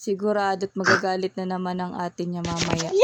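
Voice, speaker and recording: A woman speaks at a fairly slow pace. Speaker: vlogger, stay-at-home mom. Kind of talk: vlog voice-over narration. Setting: home, partly outdoors.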